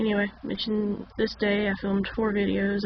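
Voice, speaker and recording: A woman's medium-pitched voice moves at a moderate pace through noticeable background noise. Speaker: journaling YouTuber. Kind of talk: casual talk to camera.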